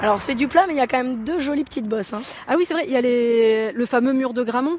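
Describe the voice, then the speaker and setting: A woman speaks at a high pitch and a fairly quick pace in an animated tone. Background noise is noticeable. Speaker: radio reporter. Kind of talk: on-location reportage. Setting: outdoors.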